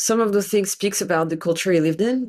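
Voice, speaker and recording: With a French accent, a woman speaks at medium pitch with lively intonation on a very clean recording against a silent background. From France. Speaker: tarot reader and scholar. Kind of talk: interview conversation. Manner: halting.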